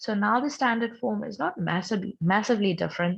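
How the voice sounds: Speaking with vocal fry, a woman keeps her intonation fairly even.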